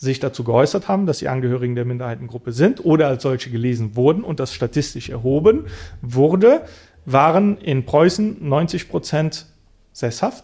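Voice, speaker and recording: A man's fairly high, somewhat breathy voice, dark and mellow in tone, with lively intonation. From Bulgaria, Roma minority; raised partly in Mosel region, Germany. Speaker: political scientist and activist. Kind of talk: interview. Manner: hesitant, frequent fillers.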